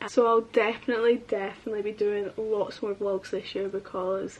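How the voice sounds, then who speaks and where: A woman speaks in a Scottish accent at a fairly quick pace. Her pitch is fairly high. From Scotland, Edinburgh area. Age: 20s. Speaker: lifestyle vlogger, university student. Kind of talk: casual chat. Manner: chatty, filler-heavy.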